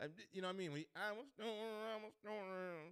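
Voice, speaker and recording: This man talks at a very fast pace in a high pitch, his tone animated and his intonation lively. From US South, Nashville, Tennessee. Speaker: comedian. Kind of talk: casual live stream chat. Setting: live stream at home.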